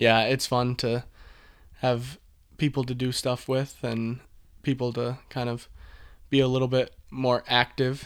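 A man's voice at a fairly slow pace, monotone and flat, with long, frequent pauses. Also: medium pitch for a man. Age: 20s. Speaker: structural engineer, hosts' brother. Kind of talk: casual chat.

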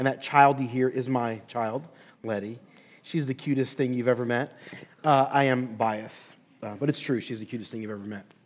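A man with an American accent and a plain, everyday voice speaks at a medium pitch and moderate pace, with big swings in loudness. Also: fairly even intonation. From Philadelphia, Pennsylvania. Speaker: pastor and seminary professor. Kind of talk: sermon-style lecture.

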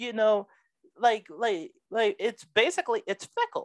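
Speech comes at a fairly slow pace, dry and close with no echo, against a quiet background. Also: woman. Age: 20s. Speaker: preacher and podcast host. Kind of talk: sermon-style podcast monologue. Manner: animated.

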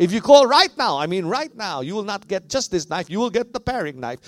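Passionate male voice in a Filipino accent at a moderate pace, with very wide pitch swings and a dry, close sound with no echo. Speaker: pastor. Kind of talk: sermon; mock infomercial pitch in a sermon. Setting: church. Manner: passionate, audience-engaging.

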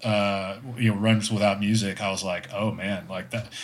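Noticeable background noise is present. A man talks amid audible room echo. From Texas. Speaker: amateur runner. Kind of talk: casual chat.

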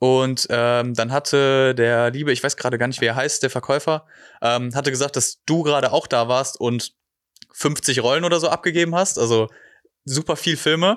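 A normal speaking voice from a man at medium pitch, moderate in pace and very even in loudness, on a very clean recording with a silent background. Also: ordinary pitch variation. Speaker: podcast host. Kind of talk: casual interview. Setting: studio.

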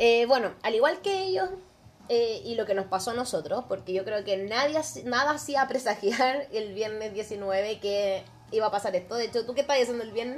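In a Chilean accent, a woman speaks at a moderate pace. Her voice is fairly high, with lively intonation. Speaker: podcast co-host. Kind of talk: casual chat.

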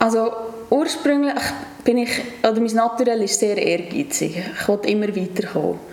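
The clip carries audible room echo along with noticeable background noise. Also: woman, fairly high pitch for a woman, ordinary pitch variation, moderate pace. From Switzerland, Nidwalden (Stans). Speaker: hotel activities manager. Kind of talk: casual interview. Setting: office.

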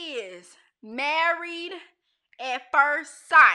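A woman projects a raised voice at a high pitch with a bright, sharp tone. Her pitch swings very widely. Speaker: livestream host. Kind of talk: casual chat. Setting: Facebook Live stream. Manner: animated.

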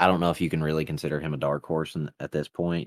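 A man speaks with a Southern US accent and a very deep, low pitch. The sound is dry and close, with no echo. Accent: Southern US, noticeable. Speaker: podcast host. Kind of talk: casual sports chat. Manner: joking, rambling.

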